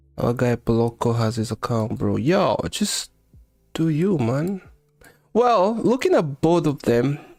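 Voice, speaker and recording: A man's fairly high voice in a strong Kenyan accent, relaxed in tone, fairly slow, with very wide pitch swings and music in the background. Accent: heavy Kenyan. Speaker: live-streaming futures trader. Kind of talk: casual live-stream chat. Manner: relaxed, conversational.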